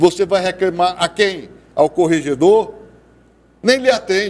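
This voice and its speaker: A man's high voice, animated in tone, at a fairly slow pace with ordinary pitch variation. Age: 70s. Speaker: TV debate panelist. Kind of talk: heated debate.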